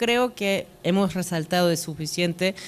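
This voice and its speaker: Speaking with a non-native accent, a woman uses a fairly low pitch with ordinary pitch variation. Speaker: international development officer. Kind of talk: panel discussion. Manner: halting.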